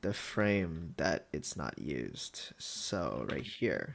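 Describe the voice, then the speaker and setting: In a very clean recording with a silent background, a man speaks quietly at a very slow pace. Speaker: streamer making launchpad light shows. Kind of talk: casual live stream, chatting while editing. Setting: live stream.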